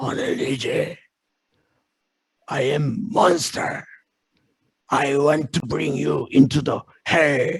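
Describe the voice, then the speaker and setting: In a raspy, put-on character voice pitched fairly high, a man talks at a very slow pace with long, frequent pauses. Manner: menacing.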